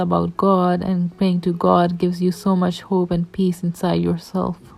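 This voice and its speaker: On a very clean recording with a silent background, a woman speaks at a moderate pace and medium pitch. Her dark, mellow tone stays flat and monotone. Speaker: vlogger. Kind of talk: reflective voiceover narration. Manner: stuttering.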